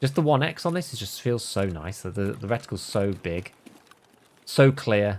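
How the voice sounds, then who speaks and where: Speaking with a West Midlands accent, a man uses a medium pitch and lively intonation. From England, West Midlands. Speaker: video game streamer. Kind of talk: casual livestream gaming commentary. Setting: livestream.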